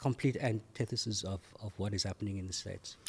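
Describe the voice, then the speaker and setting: The man's voice is somewhat breathy. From South Africa. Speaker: MBA graduate, community development worker. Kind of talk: interview answer.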